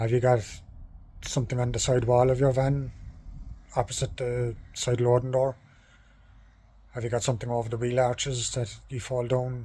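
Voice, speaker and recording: Speaking in an Irish accent at a moderate pace, a man with a medium pitch and a dark, mellow, somewhat breathy tone keeps a monotone, flat intonation with long, frequent pauses. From Ireland. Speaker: courier van driver. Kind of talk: vlog talking to camera. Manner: hesitant with pauses.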